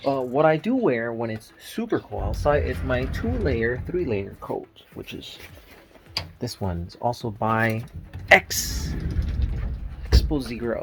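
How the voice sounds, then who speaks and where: Over noticeable background noise, a man talks at a fairly slow pace with long, frequent pauses and big swings in loudness. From Nicaragua, raised in the US. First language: Spanish. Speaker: family vlogger. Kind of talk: casual vlog. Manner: halting, many fillers.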